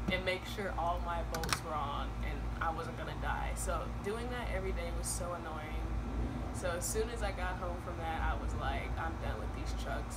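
Loud background noise behind a woman talking at a moderate pace. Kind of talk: casual vlog chat. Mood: annoyed, joking. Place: garden. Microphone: camera far.

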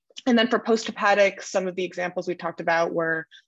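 A woman with a fairly low pitch speaks with ordinary pitch variation. The background is quiet. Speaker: medical trainee giving teaching points. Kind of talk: teaching summary. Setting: video call. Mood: warm, grateful at close. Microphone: video call.

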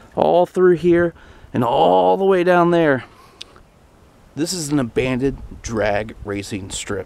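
Speaking at a fairly slow pace with long, frequent pauses, a man uses a fairly high voice that swings very widely in pitch. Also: dry sound with no echo. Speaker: vlogger. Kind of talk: casual vlog talk to camera. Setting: outdoors. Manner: loud. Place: open country. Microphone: phone near.

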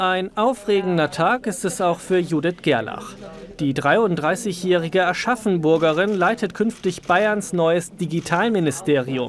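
Against noticeable background noise, a man speaks very slowly at a high pitch, his loudness very even throughout. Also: ordinary pitch variation. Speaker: TV news reporter. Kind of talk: news report narration.

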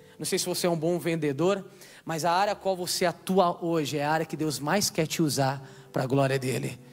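A man talks at a moderate pace with a Brazilian accent. His pitch is high, with ordinary variation. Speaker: preacher. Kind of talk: sermon. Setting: church. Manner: animated; call-and-response, exhorting the crowd. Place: stage. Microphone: handheld.

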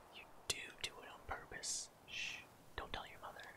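Amid noticeable background noise, this man whispers. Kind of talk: whispered character dialogue reading. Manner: whispered, soft.

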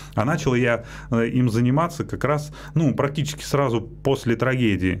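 Over light background noise, a man talks at a fairly slow pace. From Russia, Moscow region (Likino-Dulyovo); Russia. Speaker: Paralympic cyclist; guest. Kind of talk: radio interview. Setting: radio studio. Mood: calm, reflective. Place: studio. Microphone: studio mic.

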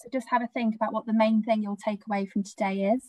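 A woman's fairly high, somewhat breathy voice with a dark, mellow tone and fairly even intonation, against a quiet background in a dry sound with no echo. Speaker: charity webinar moderator. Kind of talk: webinar Q&A moderation. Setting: video call. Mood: warm, gentle, sensitive topic. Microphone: video call.

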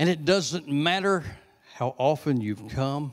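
A man talks with a Southern US accent against a quiet background. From US South. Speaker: visiting preacher. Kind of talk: sermon. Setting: church with congregation. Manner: animated; conversational. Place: church. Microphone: handheld.

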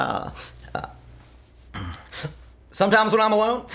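A man's raised, projected voice at a very fast pace. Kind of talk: scripted comedy dialogue. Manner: drowsy, slurred drunk confession. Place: home room.

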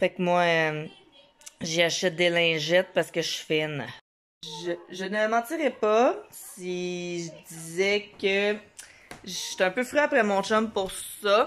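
A Quebec accent at a very slow pace, with long, frequent pauses and ordinary pitch variation. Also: woman, medium pitch for a woman. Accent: Québécois French. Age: 20s. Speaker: mom vlogger. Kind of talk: casual vlog talk to camera. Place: home room. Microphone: phone near.

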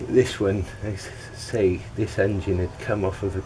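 Against noticeable background noise, a man speaks at a very slow pace with a fairly low pitch and fairly even intonation. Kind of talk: tutorial. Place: garden. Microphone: camera far.

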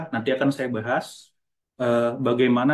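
A man at a fairly quick pace against a quiet background. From North Sumatra. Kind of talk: conference presentation. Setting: video call. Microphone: video call.

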